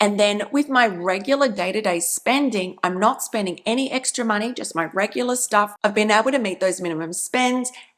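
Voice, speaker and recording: With an Australian accent, a woman of medium pitch speaks in an enthusiastic tone. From Australia (Brisbane). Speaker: travel rewards YouTuber. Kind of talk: channel intro vlog.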